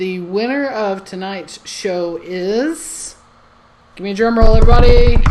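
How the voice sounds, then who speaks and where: Woman with an American accent at medium pitch, with lively intonation and a fairly slow pace, amid noticeable background noise and audible room echo. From Alabama. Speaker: comedy show host. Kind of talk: live online comedy show hosting. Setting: live online stream. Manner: animated.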